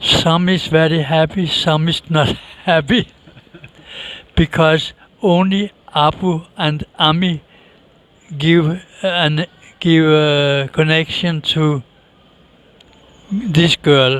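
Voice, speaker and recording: In a Danish accent, a man with a fairly high pitch speaks at a very slow pace, with fairly even intonation and long, frequent pauses. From Denmark. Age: 60s. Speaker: interviewee. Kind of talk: interview.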